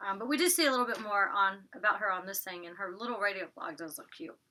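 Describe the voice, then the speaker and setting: The speaker has a Southern US accent and a bright, sharp tone. The intonation is lively and the pace fairly quick. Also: woman. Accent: Southern twang, drops T's. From US South, Georgia. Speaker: YouTuber reviewing reality TV. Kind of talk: casual vlog review. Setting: recording in her closet. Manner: chatty, filler-heavy.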